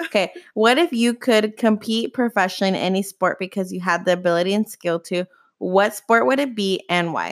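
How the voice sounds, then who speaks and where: A woman's normal speaking voice at a medium pitch, with ordinary pitch variation and a fairly quick pace, the sound dry and close with no echo. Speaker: podcast host. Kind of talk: casual chat.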